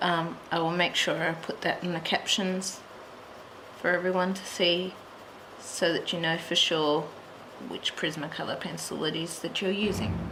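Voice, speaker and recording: A woman's fairly low, flat, monotone voice at a moderate pace, with long, frequent pauses, noticeable background noise and audible room echo. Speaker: colouring tutorial creator. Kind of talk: tutorial. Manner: soft-spoken at times; muttering to herself.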